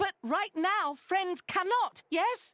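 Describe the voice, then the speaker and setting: This is a put-on character voice. It sounds squeaky and extremely high in pitch. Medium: video game. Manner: broken grammar, speaks of himself by name.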